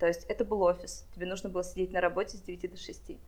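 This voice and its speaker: A woman speaks at a very fast pace. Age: 20s. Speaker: wedding planner. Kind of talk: casual interview.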